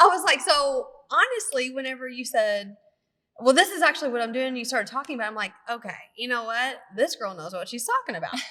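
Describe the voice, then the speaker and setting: In a strong Kentucky accent, a woman with a high-pitched, raised and projected voice talks very fast with lively intonation and big swings in loudness. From Kentucky, near Louisville. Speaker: nurse practitioner and podcast co-host. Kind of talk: casual chat.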